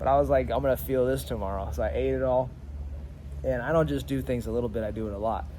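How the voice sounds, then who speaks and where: Amid audible room echo, a man with a fairly low pitch talks at a very fast pace, animated in tone with very wide pitch swings. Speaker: leadership coach. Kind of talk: motivational talk to camera. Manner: stutters at times; casual, animated.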